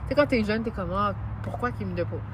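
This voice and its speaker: Noticeable background noise and audible echo from the room accompany a woman's voice. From Montreal, Quebec. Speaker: journalist and TV host. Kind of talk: interview. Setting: outdoors in a park.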